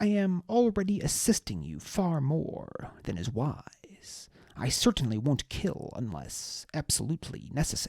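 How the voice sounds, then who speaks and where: A put-on character voice from a man, fairly high in pitch, with very wide pitch swings, at a moderate pace. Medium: read story. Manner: calm, measured.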